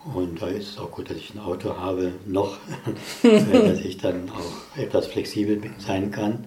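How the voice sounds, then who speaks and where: Over noticeable background noise and audible room echo, the voice moves at a fairly slow pace in a monotone, flat intonation, with big swings in loudness. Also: man, fairly low pitch for a man. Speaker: physicist. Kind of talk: casual chat. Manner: reserved.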